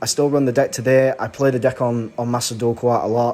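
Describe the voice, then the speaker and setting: A man speaks fairly quickly with a monotone, flat intonation. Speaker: gaming YouTuber. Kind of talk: casual unscripted video talk. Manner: rushed with frequent stutters and fillers.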